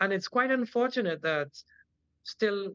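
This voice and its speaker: Spoken in a Trinidadian accent, the voice has a dry, close sound with no echo. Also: man. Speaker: general practitioner and cultural activist. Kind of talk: interview.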